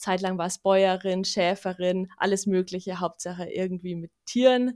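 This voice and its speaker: A woman's ordinary speaking voice, medium in pitch and fairly slow, on a very clean recording with a silent background. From Bavaria, Munich. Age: 20s. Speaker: wildlife ecologist. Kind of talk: casual interview.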